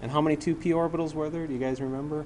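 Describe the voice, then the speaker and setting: Audible room echo surrounds the man as he talks. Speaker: chemistry instructor. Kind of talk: classroom lecture. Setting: classroom with students. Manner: fast-talking; casual, conversational.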